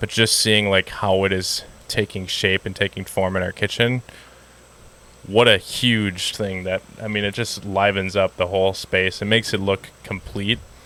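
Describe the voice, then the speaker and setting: In a Wisconsin accent, a man with a fairly low pitch and a bright, sharp tone speaks at a moderate pace with monotone, flat intonation. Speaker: dog trainer. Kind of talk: casual podcast conversation. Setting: outdoors.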